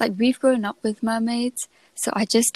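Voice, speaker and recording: Her voice is soft-spoken and fairly high, with fairly even intonation. The sound is dry and close, without any echo. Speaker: podcast host. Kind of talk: casual chat. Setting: at home at night.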